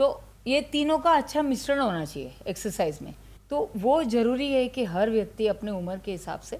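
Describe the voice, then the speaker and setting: A woman with a fairly high voice and vocal fry speaks at a moderate pace, her pitch swinging very widely. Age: 60s. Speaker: ayurveda doctor. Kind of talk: interview. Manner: conversational, Hindi-English code-mixing.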